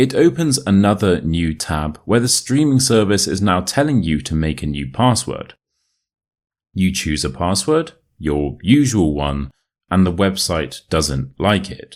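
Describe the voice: A speaker with a British accent moves at a fairly slow pace with big pitch swings, in a very clean recording with a silent background. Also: man, low pitch for a man. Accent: British, modern RP.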